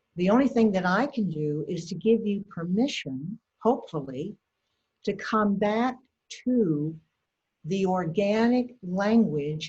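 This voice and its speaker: Speaking very slowly, a woman uses a medium pitch and lively intonation. Her tone is dark, mellow and somewhat breathy. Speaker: educator on touch for caregivers. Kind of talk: lecture. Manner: soft-spoken. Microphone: too quiet.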